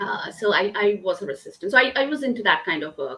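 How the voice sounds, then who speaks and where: Speaking with a Bengali accent, a woman talks at a fairly quick pace in a medium pitch. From eastern India. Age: 30s. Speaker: diversity and inclusion consultant. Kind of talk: interview conversation. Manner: halting, many fillers.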